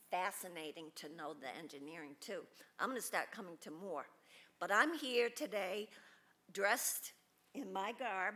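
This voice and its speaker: A woman's bright, sharp voice with very wide pitch swings and long, frequent pauses. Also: medium pitch for a woman, moderate pace. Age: 60s. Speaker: retired teacher, public commenter. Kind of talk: public comment at meeting. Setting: city commission meeting at podium.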